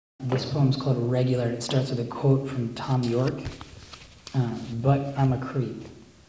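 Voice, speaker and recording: A man speaks at a moderate pace and medium pitch with flat, monotone intonation, with noticeable background noise and audible room echo. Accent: American. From US Northeast, Philadelphia. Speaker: poet. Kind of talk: poetry reading. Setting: cafe reading with audience.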